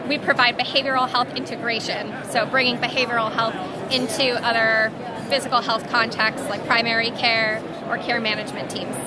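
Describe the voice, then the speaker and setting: A woman at a fairly quick pace, her voice dry with no echo amid loud background noise. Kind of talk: interview answer. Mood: friendly, smiling. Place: hall. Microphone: phone near.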